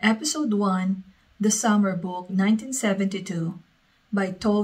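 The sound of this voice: The voice is an unforced reading voice, with fairly even intonation.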